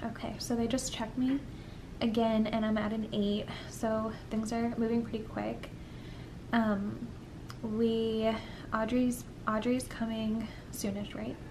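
A woman talks at a fairly slow pace in a monotone, flat intonation, with long, frequent pauses and noticeable background noise. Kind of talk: casual vlog chat. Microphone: phone near.

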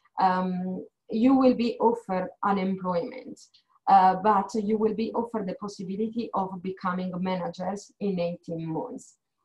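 A woman with an Italian accent speaks at a moderate pace in a somewhat breathy voice. Her pitch is medium with ordinary variation, and the background is quiet. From Italy. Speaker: HR manager. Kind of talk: informational presentation. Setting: video call. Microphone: video call.

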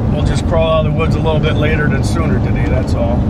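Over loud background noise, a man's voice sounds dry, with no echo. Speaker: logger vlogger. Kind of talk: casual vlog chat. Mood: joking, relaxed. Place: car. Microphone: phone near.

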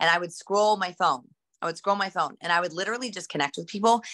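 A woman speaks with energy in a bright, sharp tone against a quiet background. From West Virginia. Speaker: network marketing seller. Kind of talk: motivational talk. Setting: video call. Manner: energetic. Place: home room. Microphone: video call.

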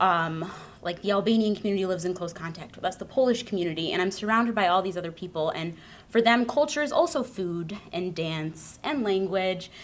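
A woman talks at a fairly quick pace. Her pitch variation is ordinary. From US Midwest. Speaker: conference attendee. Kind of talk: personal testimony. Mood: warm, earnest, smiling. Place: hall. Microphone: podium.

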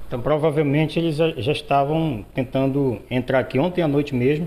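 This man's voice is fairly high in pitch yet dark and mellow in tone, with fairly even intonation. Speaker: TV reporter. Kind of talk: field news report and interview. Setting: outdoors on location. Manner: stammering in questions.

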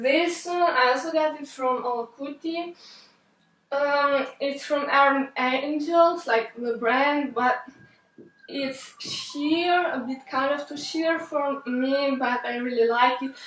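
With audible room echo, a woman speaks at a very slow pace and a high pitch, keeping a fairly even intonation. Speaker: fashion vlogger. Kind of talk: casual talk to camera. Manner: halting, stuttering. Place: home room.

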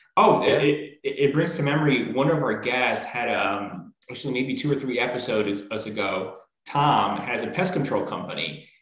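There is audible room echo as a man talks with ordinary pitch variation against a quiet background. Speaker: business show host. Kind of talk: interview conversation. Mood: friendly, smiling. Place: home room.

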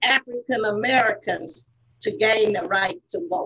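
Speaking with a Southern US accent, a woman keeps a fairly slow pace. The background is quiet. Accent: US South. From Selma, Alabama; Alabama. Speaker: civil rights veteran and author; panelist. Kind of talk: prepared speech. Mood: earnest, reflective, impassioned. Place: office. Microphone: webcam.

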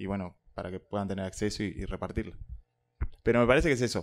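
A man's fairly low-pitched voice. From Uruguay. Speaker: local government recreation coordinator; panelist. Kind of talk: panel talk. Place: classroom. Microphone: handheld.

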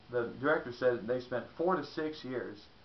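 A man speaks with an American accent at a medium pitch. His pitch varies in an ordinary way, and the room echo is audible.

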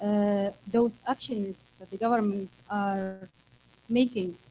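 A woman's very slow delivery in a dark, mellow tone, with fairly even intonation and light background noise. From Tunisia. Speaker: security activist; panelist. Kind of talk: panel discussion. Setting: stage with audience. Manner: halting. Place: meeting room.

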